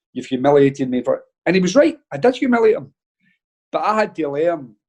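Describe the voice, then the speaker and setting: An animated man speaks very fast in a high pitch, his voice swinging very widely up and down. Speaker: football manager. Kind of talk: casual chat, anecdotes on a podcast. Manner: animated storytelling.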